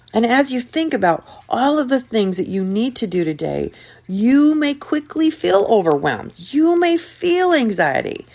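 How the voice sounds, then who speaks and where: The woman's pitch is high. It swings very widely. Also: moderate pace. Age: 60s. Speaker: podcast host, self-help speaker. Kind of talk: motivational podcast monologue.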